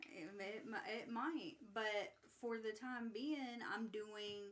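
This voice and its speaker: With a fairly high pitch and ordinary pitch variation, a woman talks at a very slow pace. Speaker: podcast host. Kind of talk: casual chat. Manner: halting.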